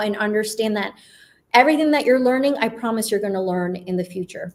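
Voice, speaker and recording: A woman speaks in a normal speaking voice with an American accent. Her pitch is fairly high, with ordinary variation. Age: 40s. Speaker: agency founder and video content guest. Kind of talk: live show interview.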